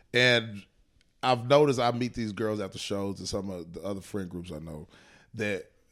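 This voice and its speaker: Using a plain, everyday voice, a man speaks at a fairly low pitch with ordinary pitch variation. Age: 30s. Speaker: stand-up comedian. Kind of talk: casual chat.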